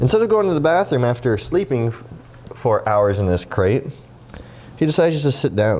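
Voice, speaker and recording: A man's pitch swings very widely as he talks at a fairly quick pace through noticeable background noise. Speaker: dog trainer and dog vlogger. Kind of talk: casual vlog with training tips. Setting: at home, indoors and backyard. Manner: animated, upbeat.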